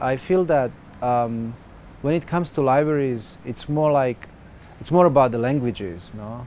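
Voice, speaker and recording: A man's medium-pitched voice with a Serbo-Croatian accent, at a moderate pace. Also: ordinary pitch variation. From former Yugoslavia. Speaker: activist and software developer. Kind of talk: interview. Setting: festival. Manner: hesitant, many filler sounds.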